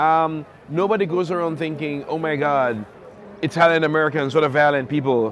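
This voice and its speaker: The man talks fairly quickly while noticeable background noise runs underneath. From Jamaica. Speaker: novelist. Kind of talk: interview answer.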